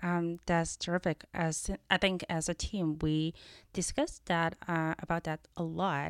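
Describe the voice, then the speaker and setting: A woman speaks fairly slowly with a Chinese accent, in a fairly low, monotone, flat voice. The sound is dry and close with no echo, a very clean recording against a silent background. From China. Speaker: venture capital partner. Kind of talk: casual interview chat. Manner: hesitant, many fillers.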